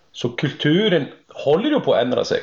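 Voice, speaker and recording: A man is speaking. His pace is moderate. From Iceland. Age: 40s. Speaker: horse trainer. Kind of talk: interview.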